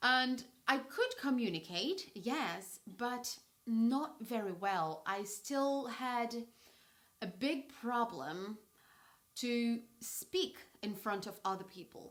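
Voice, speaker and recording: A woman with a fairly high voice talks at a very slow pace, her intonation lively. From Brazil. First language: Portuguese. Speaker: English teacher. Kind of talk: tutorial storytelling. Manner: clear, measured pace for learners.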